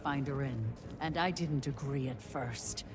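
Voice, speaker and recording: A put-on character voice at low-to-middle pitch and moderate pace over loud background noise. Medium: video game. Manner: earnest, steady.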